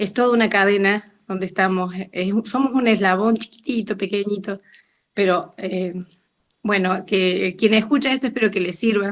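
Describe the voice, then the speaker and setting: A woman with an unremarkable speaking voice at a medium pitch, fairly even intonation and a moderate pace, in a very clean recording with a silent background. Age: 60s. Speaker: participant sharing experience. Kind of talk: testimony.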